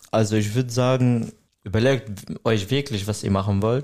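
His tone is dark and mellow. The man talks fairly slowly. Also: very clean recording, silent background. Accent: Arabic. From Syria. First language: Arabic (speaking German). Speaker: trainee hairdresser. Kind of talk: interview.

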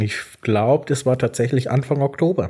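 A man talks at medium pitch and a moderate pace with ordinary pitch variation. His voice is somewhat breathy, with a dark, mellow tone. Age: 20s. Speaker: podcast co-host. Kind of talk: casual chat. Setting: evening recording. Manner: hesitant, many fillers.

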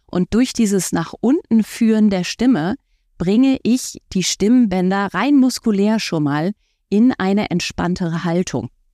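At a fairly slow pace, a woman with a dark, mellow tone speaks at medium pitch, the sound dry and close with no echo in a very clean recording with a silent background. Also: lively intonation. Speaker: voice coach and author. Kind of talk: interview. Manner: animated.

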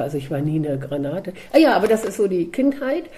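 A woman's dark, mellow tone comes through as she talks at a moderate pace. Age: 50s. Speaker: dog trainer and coach. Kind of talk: casual chat. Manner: animated.

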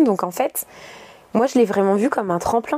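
With an animated tone, a woman talks at a moderate pace using ordinary pitch variation. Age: 30s. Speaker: yoga teacher. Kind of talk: interview.

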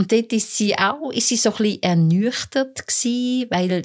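A woman speaking at a very slow pace with ordinary pitch variation, in a very clean recording with a silent background. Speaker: court reporter. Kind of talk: casual interview. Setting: studio.

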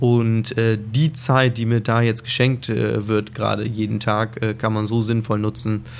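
Speaking at a medium pitch, the man keeps a monotone, flat intonation. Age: 30s. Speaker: hotel director. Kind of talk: casual interview. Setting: outdoors on hotel suite balcony.

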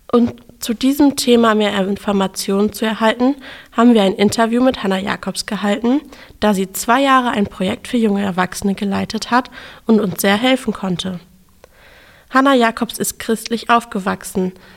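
A woman speaks in a plain, everyday voice at a moderate pace. Her pitch is fairly high, with fairly even intonation. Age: 20s. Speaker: theology student, podcast host. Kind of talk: scripted narration.

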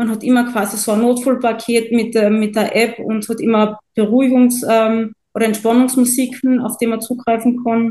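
Her pitch fairly high, a woman speaks at a moderate pace. Her intonation is monotone and flat. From Austria, Carinthia. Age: 20s. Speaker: coaching client. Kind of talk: testimonial interview.

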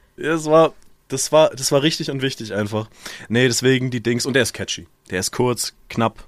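An unremarkable speaking voice from a man, at a medium pitch and a moderate pace, with ordinary pitch variation. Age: 20s. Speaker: podcast co-host. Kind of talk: casual chat.

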